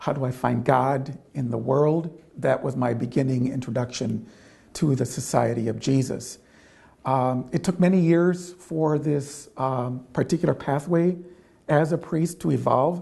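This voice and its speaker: The voice is somewhat breathy and dark and mellow in tone, with an American accent. It moves at a fairly slow pace with ordinary pitch variation. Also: man, medium pitch for a man. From Michigan, US Midwest. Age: 60s. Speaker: Jesuit priest and nurse. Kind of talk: interview. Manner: halting, many fillers.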